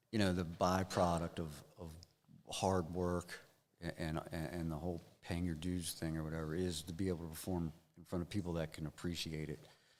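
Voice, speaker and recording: The speaker has an American accent and a fairly quick pace. The intonation is monotone and flat. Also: man, very deep, low pitch for a man. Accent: Maryland redneck. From Maryland. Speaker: rock guitarist. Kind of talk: interview. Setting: studio live stream. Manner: halting, many fillers and repeats.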